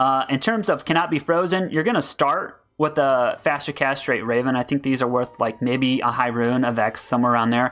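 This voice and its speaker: A man's medium-pitched voice at a fairly quick pace with hardly any pauses. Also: ordinary pitch variation, very even loudness. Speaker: gaming YouTuber; streamer. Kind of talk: game build guide. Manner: fast. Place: home room. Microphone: headset.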